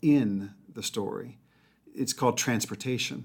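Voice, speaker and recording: A man with an American accent speaks at a fairly slow pace in an unremarkable speaking voice, his pitch medium with ordinary variation. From US South, Mobile, Alabama. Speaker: leadership author and speaker. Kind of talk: casual interview. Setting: studio.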